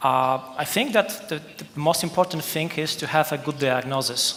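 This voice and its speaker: In a Polish accent, a man talks at a moderate pace with a fairly high pitch. Background noise is noticeable. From Poland. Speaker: policy expert panelist. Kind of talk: conference panel talk. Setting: conference hall.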